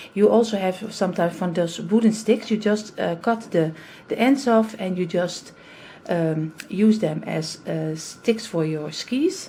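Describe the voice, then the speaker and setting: A somewhat breathy voice with a dark, mellow tone comes in a Dutch accent. The pace is fairly slow. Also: woman, medium pitch for a woman, ordinary pitch variation. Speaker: craft youtuber. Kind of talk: tutorial. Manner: halting.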